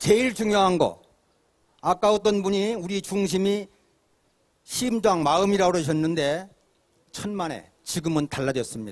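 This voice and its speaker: A man speaks at a moderate pace with a high pitch. His pitch varies an ordinary amount. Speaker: independent scholar. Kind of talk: public speech. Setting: outdoor rally.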